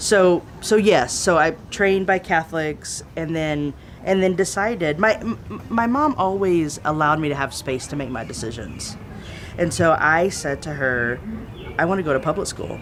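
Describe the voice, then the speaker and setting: Over noticeable background noise, a woman with a Southern US accent speaks at a fairly low pitch and a moderate pace with lively intonation. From Texas (East Texas, San Antonio). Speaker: theologian and activist. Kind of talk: interview.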